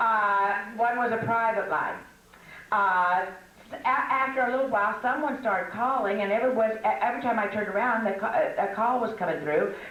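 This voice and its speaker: A woman with an American accent at a moderate pace, against noticeable background noise. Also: fairly high pitch for a woman, ordinary pitch variation. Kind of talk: casual humorous teaching talk to an audience. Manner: chatty, humorous, storytelling.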